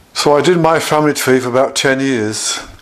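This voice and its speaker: A man's medium-pitched voice at a fairly slow pace, with ordinary pitch variation and noticeable background noise. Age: 70s. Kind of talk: personal video diary monologue. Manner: halting.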